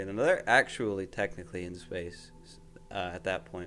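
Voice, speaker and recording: Over music in the background, a man talks at a fairly quick pace in a monotone, flat intonation. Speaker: podcast host. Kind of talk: casual chat. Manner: halting, with false starts.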